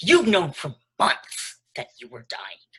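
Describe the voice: Slow and put-on, this character voice has a bright, sharp tone, a husky, rough edge and very wide pitch swings.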